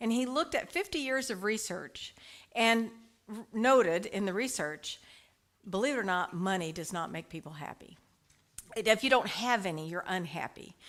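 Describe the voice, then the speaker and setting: A woman's fairly high voice moves with lively intonation and big swings in loudness. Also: moderate pace. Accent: slight Texas. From US, Dallas Texas. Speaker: licensed prayer practitioner and speaker. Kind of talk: spiritual talk to congregation. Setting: church service with live audience, also online. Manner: casual, conversational.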